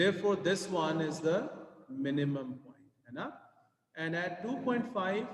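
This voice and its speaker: A man's fairly high voice, fairly slow and with lively intonation, in audible room echo. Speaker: maths teacher. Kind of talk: tutorial.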